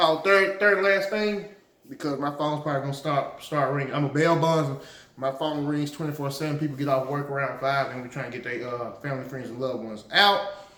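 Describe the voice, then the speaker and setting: Lively intonation from a man at fairly high pitch and a fairly quick pace, with audible room echo and noticeable background noise. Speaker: political commentary vlogger and bail bondsman. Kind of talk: casual political commentary monologue. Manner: hesitant, many filler words.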